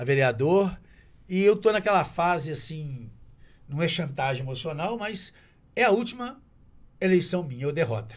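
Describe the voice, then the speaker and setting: A man speaks at a fairly high pitch with very wide pitch swings. He leaves long, frequent pauses. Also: moderate pace. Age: 70s. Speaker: TV presenter and local politician. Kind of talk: casual chat.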